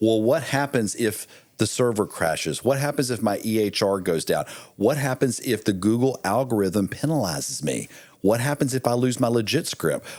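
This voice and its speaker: A man with an American accent speaks in an ordinary speaking voice at medium pitch and a moderate pace, with lively intonation and very even loudness. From US, military family. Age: 50s. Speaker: military veteran and marketing executive, author. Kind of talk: podcast interview.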